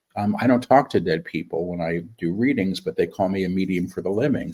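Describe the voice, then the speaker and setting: Talking at a very fast pace, the man speaks in an American accent. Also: hardly any pauses. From New York City. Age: 60s. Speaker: spiritual medium. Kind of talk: interview.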